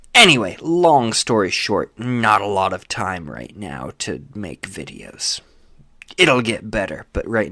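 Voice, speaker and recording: This man's voice has a bright, sharp tone. His pitch swings very widely and his loudness rises and falls a great deal. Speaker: video essayist reviewing sci-fi starships. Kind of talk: unscripted rant video. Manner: halting, many fillers.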